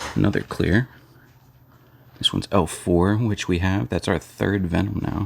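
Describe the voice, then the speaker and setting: A man's very deep, low voice with vocal fry, ordinary pitch variation, a moderate pace and long, frequent pauses. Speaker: trading card collector and snake keeper. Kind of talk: card opening video, casual commentary. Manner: casual, chatty.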